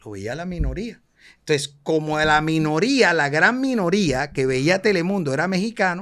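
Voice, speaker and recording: In a coastal Colombian accent, a man with a high pitch talks at a moderate pace with lively intonation on a very clean recording with a silent background. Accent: Colombian coastal (costeño) Spanish. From Cartagena, Colombian Caribbean coast. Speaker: actor. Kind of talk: casual interview chat.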